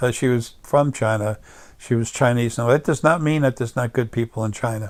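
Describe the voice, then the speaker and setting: A man with an American accent speaks at a fairly quick pace, his medium pitch carrying fairly even intonation, on a very clean recording with a silent background. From US Northeast, Long Island, New York. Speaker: political commentator. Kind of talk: monologue rant. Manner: halting, many fillers.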